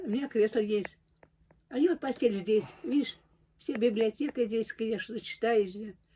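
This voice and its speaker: Against light background noise, a woman speaks at a fairly slow pace in a dark, mellow, somewhat breathy voice, fairly high in pitch with ordinary pitch variation. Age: 80s+. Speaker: elderly pensioner. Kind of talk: casual chat. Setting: at home. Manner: halting. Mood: complaining, resigned. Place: home room. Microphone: phone near.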